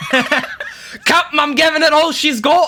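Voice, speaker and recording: This put-on character voice, strained and high-pitched, moves at a fairly slow pace in a Scottish accent that is part of the act. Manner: exaggerated, strained.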